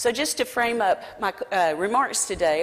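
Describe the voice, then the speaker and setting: This woman talks in a Southern US accent. Her pace is moderate. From South Carolina. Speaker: business coalition president. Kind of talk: conference talk.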